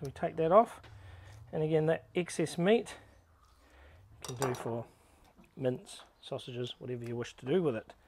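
A man at a moderate pace, the sound dry with no echo. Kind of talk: tutorial. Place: garden. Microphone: phone near.

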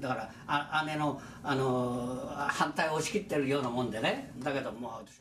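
There is audible room echo and light background noise as a man talks at a moderate pace. His pitch is medium, with ordinary variation. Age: 70s. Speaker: atomic bomb survivor. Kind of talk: interview answer. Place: home room.

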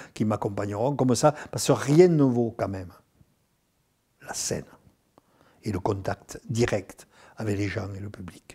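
Against a quiet background, a man speaks at a very slow pace in a fairly low voice with a dark, mellow tone. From southern France, Nîmes; southern France. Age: 70s. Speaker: actor and singer. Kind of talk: interview; interview answer. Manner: halting, repeats words. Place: home room.

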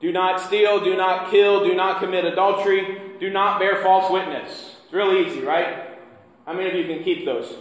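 A man speaks in a monotone with flat intonation and an American accent, at a moderate pace, with audible room echo. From US Midwest. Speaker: pastor. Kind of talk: sermon. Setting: church. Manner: conversational, engages audience with questions. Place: church. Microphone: camera far.

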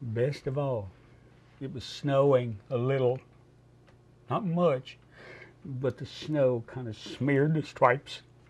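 A man speaks very slowly at medium pitch, in a somewhat breathy voice with ordinary pitch variation. His loudness swings widely, and he leaves long, frequent pauses. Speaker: World War II veteran. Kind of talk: elder recounting a war memory, showing souvenirs. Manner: animated, warm and emotional storytelling with halting, repeated phrases. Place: studio.

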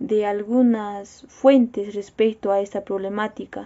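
Speaking at a very slow pace, a woman with a fairly high pitch keeps a monotone, flat intonation against a quiet background. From Peru, Cusco; Peru. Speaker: university student. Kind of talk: personal video statement. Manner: formal. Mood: serious, concerned. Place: home room. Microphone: phone near.

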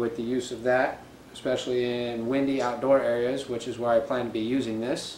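A man speaks in a flat monotone. Audible room echo and light background noise surround him. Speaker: reviewer. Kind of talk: unboxing review. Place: home room. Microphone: camera far.

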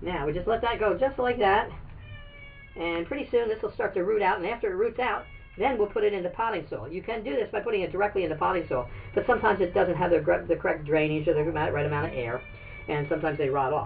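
Faint music plays in the background as a man with a high voice talks at a very fast pace. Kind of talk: tutorial. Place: garden. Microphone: camera far.

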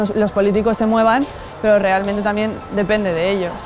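A woman speaks at a moderate pace with flat, monotone intonation. Music plays clearly in the background. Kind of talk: interview answer. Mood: earnest, concerned. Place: street. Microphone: lapel.

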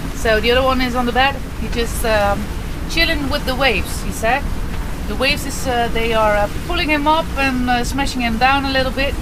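The speech moves at a fairly quick pace, with noticeable background noise behind it. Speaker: sailing vlogger. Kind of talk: casual vlog chat. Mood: cheerful, relaxed. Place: boat. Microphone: phone near.

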